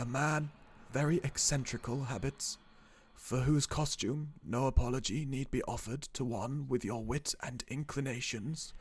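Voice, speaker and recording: In a put-on character voice, a man speaks soft-spoken and shaky at a moderate pace, with a medium pitch and fairly even intonation. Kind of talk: horror narration. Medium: read story. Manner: archaic, formal.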